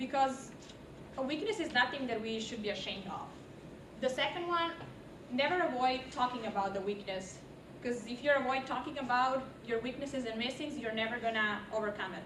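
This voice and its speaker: Amid noticeable background noise and audible room echo, a woman with a non-native accent and a high pitch talks at a fairly quick pace with ordinary pitch variation and long, frequent pauses. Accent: foreign. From outside the US. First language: not English. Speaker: university student. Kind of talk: class presentation.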